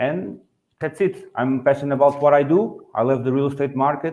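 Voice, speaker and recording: A man speaks with a Portuguese accent in a dark, mellow tone. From Portugal. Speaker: real estate agent. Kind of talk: webinar panel talk. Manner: halting, many fillers.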